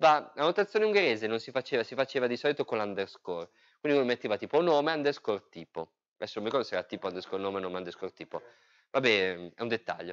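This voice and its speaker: The voice moves at a very fast pace with very wide pitch swings. The background is quiet. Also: man. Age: 30s. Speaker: software engineer and user group organizer; presenter. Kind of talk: technical talk. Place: meeting room.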